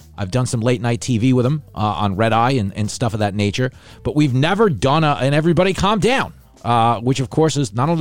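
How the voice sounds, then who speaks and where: Music plays behind a man with a New York accent and a medium-pitched voice. He talks very fast in an animated tone with lively intonation. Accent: New York, mook. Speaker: podcast host and TV writer. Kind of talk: casual comedic chat. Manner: loud, animated.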